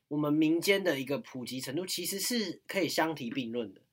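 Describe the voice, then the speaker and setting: With a Taiwanese accent, a man talks in a fairly high pitch with lively intonation. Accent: Taiwanese Mandarin. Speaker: university student podcast host. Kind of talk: casual chat.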